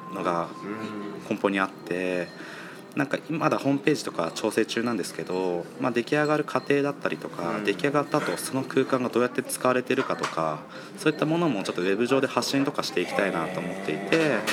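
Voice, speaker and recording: A man at a medium pitch talks at a very fast pace with very wide pitch swings, over noticeable background noise. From Kawagoe, Saitama, Japan. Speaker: spatial designer. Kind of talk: interview.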